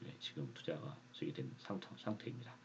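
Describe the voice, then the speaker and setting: Delivered at a fairly quick pace, the voice swings very widely in pitch and carries vocal fry. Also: man. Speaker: stock investing youtuber. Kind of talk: casual monologue vlog. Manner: halting, frequent fillers and restarts.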